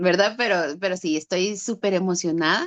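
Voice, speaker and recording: A woman with a fairly low pitch talks at a moderate pace with ordinary pitch variation, recorded with a dry, close sound and no echo. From Guatemala, Guatemala City. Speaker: writer and cultural ambassador. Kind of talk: virtual literary talk. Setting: video call.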